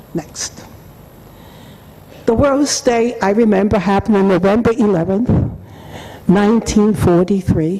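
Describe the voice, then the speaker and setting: Noticeable background noise sits under the recording. A woman speaks at a medium pitch. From Germany. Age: 80s+. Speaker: holocaust survivor. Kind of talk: testimony. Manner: halting.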